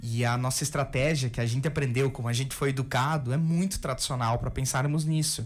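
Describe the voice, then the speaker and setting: A man talks fairly quickly at medium pitch with fairly even intonation. His voice is somewhat breathy, and its loudness stays very even. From southern Brazil, Rio Grande do Sul. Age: 20s. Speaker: biology professor. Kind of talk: radio interview.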